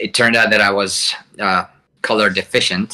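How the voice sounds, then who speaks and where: A man's bright, sharp voice at a moderate pace. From Hungary. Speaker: flight sim campaign designer. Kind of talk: interview.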